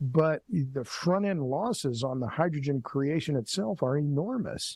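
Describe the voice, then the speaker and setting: A man speaks at a fairly high pitch with lively intonation. His voice is somewhat breathy. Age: 60s. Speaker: energy writer and commentator. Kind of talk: podcast interview.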